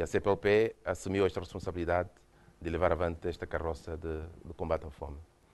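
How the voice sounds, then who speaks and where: A man with a Mozambican accent, very fast pace and ordinary pitch variation, over a quiet background. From Mozambique. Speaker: UN official, former government minister. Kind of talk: lecture. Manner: hesitant, repeats words.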